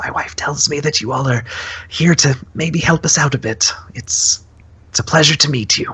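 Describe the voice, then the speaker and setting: A raspy, put-on character voice at low-to-middle pitch and a moderate pace. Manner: friendly, welcoming.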